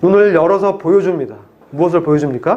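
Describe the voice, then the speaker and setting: A man talks with ordinary pitch variation, with audible room echo around him. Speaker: pastor. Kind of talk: sermon.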